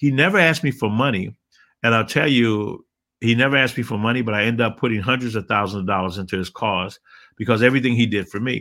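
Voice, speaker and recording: A man with a bright, sharp, animated tone, medium pitch, ordinary pitch variation and a very fast pace, in a very clean recording with a silent background. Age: 60s. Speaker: motivational speaker. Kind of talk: interview.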